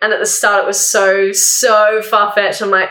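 A woman with an Australian accent, talking at a fairly quick pace. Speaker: university student sharing grief story. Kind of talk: casual interview, personal testimony. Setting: in-person at host's house. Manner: talkative.

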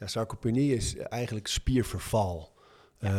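A man's somewhat breathy, dark, mellow voice at a medium pitch and moderate pace, with ordinary pitch variation, in a very clean, dry, close recording with a silent background and no echo. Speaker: author and gym owner. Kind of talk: interview.

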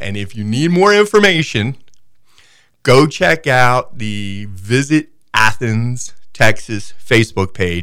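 Against a silent background on a very clean recording, a man speaks at a very slow pace. His medium pitch swings very widely. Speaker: guest, football and local sports talker. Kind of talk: casual radio interview. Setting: radio studio.

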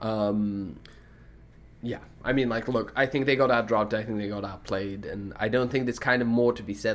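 A man speaks at a moderate pace in an ordinary speaking voice. His pitch sits fairly low. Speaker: esports podcast host. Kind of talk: casual banter about esports.

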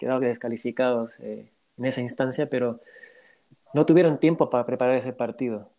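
A man speaks at a fairly quick pace. His medium-pitched voice has a dark, mellow tone. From Bolivia. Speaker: football fan guest. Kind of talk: casual interview.

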